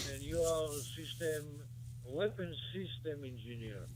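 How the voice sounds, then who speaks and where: A man at medium pitch talks at a very slow pace with ordinary pitch variation. Audible room echo and noticeable background noise surround his voice. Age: 80s+. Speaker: ham radio operator. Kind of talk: casual chat. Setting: radio contact. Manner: formal.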